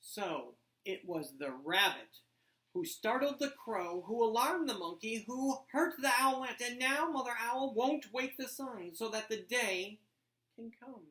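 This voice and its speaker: A female-sounding voice, high in pitch, takes on a put-on character voice and moves at a fairly slow pace. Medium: read story. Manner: grave, deliberate.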